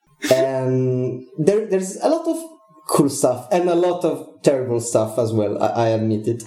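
In an Italian accent, a man of medium pitch speaks at a moderate pace with lively intonation, and there is audible room echo. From Italy. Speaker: game developer. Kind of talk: interview.

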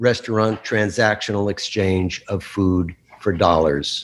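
A man speaks in an unremarkable speaking voice with an American accent. His pace is fairly slow, and his pitch varies in an ordinary way. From New Jersey, Bergen County. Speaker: chef and author. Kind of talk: talk and Q&A. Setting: video call.

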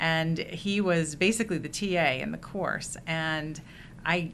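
With an American accent and a bright, sharp tone, the speaker keeps a fairly even intonation amid audible room echo. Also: woman. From Indiana. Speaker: university media producer. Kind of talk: casual chat.

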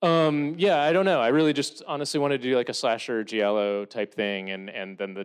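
Against a quiet background, a man with lively intonation speaks in an unremarkable speaking voice, the sound dry and close with no echo. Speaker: film director and writer. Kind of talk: Q&A with audience. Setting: stage with audience.

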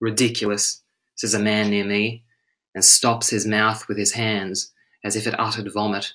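With an Australian accent, a man speaks in a fairly low, bright and sharp voice, his solemn tone held in a monotone, flat intonation. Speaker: English and French teacher. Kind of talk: poetry reading. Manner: slow, measured, solemn delivery.

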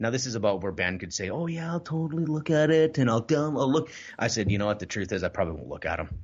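A man at medium pitch, very fast, with very wide pitch swings and vocal fry. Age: 30s. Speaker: entrepreneur and real estate coach. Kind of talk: casual interview chat.

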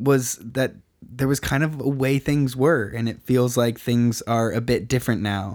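Delivered at a fairly slow pace with fairly even intonation, an ordinary speaking voice comes through on a very clean recording with a silent background. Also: man. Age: 20s. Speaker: podcast host. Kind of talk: casual interview chat. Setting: studio.

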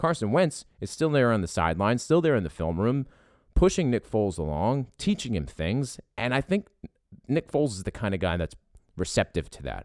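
Animated and moving through very wide pitch swings, a man with a Philadelphia accent speaks at a moderate pace in a dry, close sound with no echo on a very clean recording with a silent background. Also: medium pitch for a man. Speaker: podcast host. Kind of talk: casual sports talk podcast. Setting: makeshift studio. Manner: animated, excitable.

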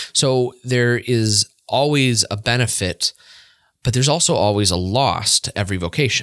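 A man's normal speaking voice at medium pitch and moderate pace, with ordinary pitch variation, the sound dry and close with no echo on a very clean recording with a silent background. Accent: American. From US, Pennsylvania. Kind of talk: casual chat.

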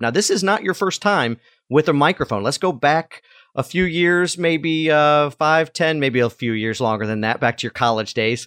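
Dry and close with no echo, this very clean recording with a silent background features a man in an ordinary speaking voice with lively intonation at a moderate pace. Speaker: podcast host. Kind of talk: casual interview. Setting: studio.

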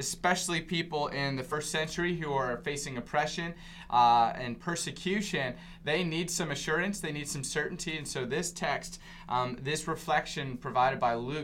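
An unremarkable speaking voice from a man, fairly high in pitch, at a moderate pace with ordinary pitch variation. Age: 20s. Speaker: preacher. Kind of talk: casual chat.

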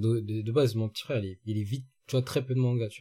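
A man's dark, mellow, somewhat breathy voice at a medium pitch, racing along at a very fast pace. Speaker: regular podcast panelist. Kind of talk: casual chat.

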